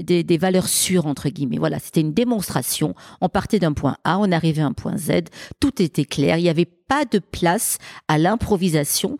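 A woman with an unremarkable speaking voice speaks at a fairly low pitch and a moderate pace. Her intonation is lively, and the sound is dry and close with no echo. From Marseille, southern France. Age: 50s. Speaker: business executive. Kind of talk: interview. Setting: event venue in Marseille.

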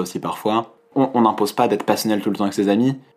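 A man speaks in a monotone, flat intonation. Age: 20s. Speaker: political science student. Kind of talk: casual interview. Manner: hesitant, many fillers.

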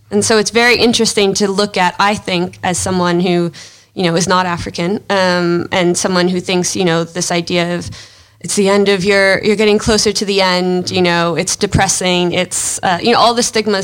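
Talking at a fairly quick pace, a woman uses a monotone, flat intonation. Her pitch is medium, and she has an American accent. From United States. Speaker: documentary filmmaker. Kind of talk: interview.

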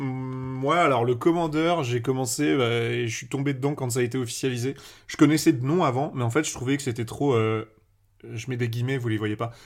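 In a very clean recording with a silent background, a man with an ordinary speaking voice talks at a fairly quick pace and medium pitch, with ordinary pitch variation. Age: 20s. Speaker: Magic content creator. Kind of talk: casual chat.

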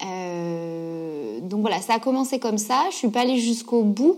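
A woman speaks in a normal speaking voice at a medium pitch. Her pitch varies in an ordinary way, and her pace is fairly slow. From southern France, Gard. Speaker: yoga teacher and author. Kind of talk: interview.

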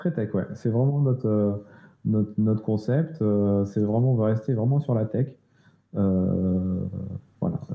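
Very slow, very even in loudness, a man's fairly low voice with ordinary pitch variation. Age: 40s. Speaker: web agency co-founder. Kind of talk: interview. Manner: halting, many repetitions.

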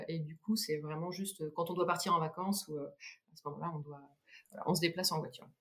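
A woman with a fairly low pitch talks at a fairly quick pace with ordinary pitch variation. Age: 30s. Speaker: cycling community founder. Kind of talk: podcast interview. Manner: halting.

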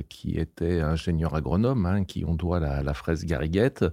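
A man speaks with a very deep, low pitch and a dark, mellow tone, using ordinary pitch variation. The recording is very clean, with a silent background. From France, near Lyon. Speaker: landscape gardener. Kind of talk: interview. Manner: hesitant, many fillers.

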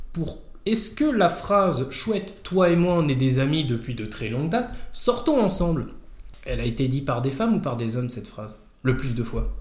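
In a room with audible echo, a man speaks in a somewhat breathy, fairly high-pitched voice. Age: 30s. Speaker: stay-at-home father. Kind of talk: casual chat.

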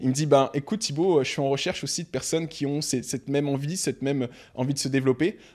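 On a very clean recording with a silent background, a man speaks at medium pitch and a very fast pace. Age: 20s. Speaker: entrepreneur and investor. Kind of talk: interview.

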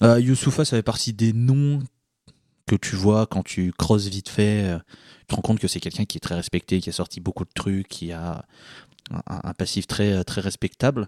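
A man speaks at a moderate pace with a dark, mellow tone and ordinary pitch variation, leaving long, frequent pauses, in a dry, close sound with no echo on a very clean recording with a silent background. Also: fairly low pitch for a man, big swings in loudness. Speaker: podcast panelist. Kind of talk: casual chat.

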